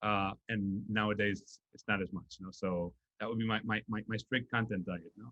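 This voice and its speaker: With a Spanish accent, a man speaks at a moderate pace in a fairly low, bright and sharp voice, his intonation flat and monotone, his loudness swinging widely, and the sound dry and close with no echo. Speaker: nonprofit executive. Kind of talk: interview. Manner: halting, many fillers and repetitions.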